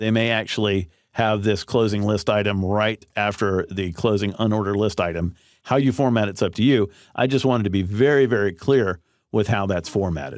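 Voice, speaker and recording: In a very clean recording with a silent background, a man with a fairly low pitch speaks at a fairly quick pace in a plain, everyday voice, with ordinary pitch variation and very even loudness. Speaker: online course instructor. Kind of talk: tutorial.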